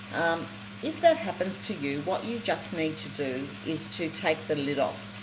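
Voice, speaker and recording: The speaker has an Australian accent. Noticeable background noise can be heard. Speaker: cooking show host. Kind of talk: live cooking demonstration. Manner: fast; animated.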